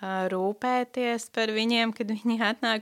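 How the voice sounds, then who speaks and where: A woman's voice with fairly even intonation, on a very clean recording with a silent background. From Latvia, Talsi area (Kurzeme). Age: 20s. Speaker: Bible school student. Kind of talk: personal testimony interview. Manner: hesitant, many fillers.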